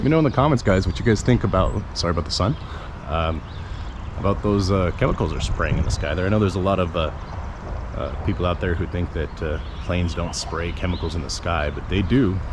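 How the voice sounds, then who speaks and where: In a room with audible echo and noticeable background noise, a man with a very deep, low pitch talks at a very fast pace with lively intonation. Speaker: activist videographer. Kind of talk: walking vlog tour. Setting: outdoors then inside a library. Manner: hesitant, many fillers; keeps voice down indoors.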